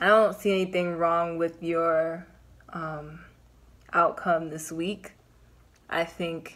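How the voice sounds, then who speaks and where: Her fairly low voice, a woman's, moves at a very slow pace with monotone, flat intonation. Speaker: tarot reader. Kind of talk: casual tarot reading chat. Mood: calm, reassuring. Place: home room. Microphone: phone near.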